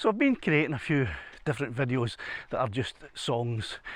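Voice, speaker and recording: With a Scottish accent, the speaker talks at a moderate pace in a very clean recording with a silent background. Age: 60s. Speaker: retired musician, hiking vlogger. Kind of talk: casual vlog narration. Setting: outdoors. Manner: halting, many repetitions.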